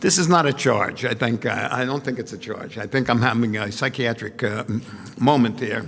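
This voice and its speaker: Medium-pitched male speech at a moderate pace, ordinary pitch variation, noticeable background noise behind it. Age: 70s. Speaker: former university president, speaker. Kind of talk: closing remarks. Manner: halting.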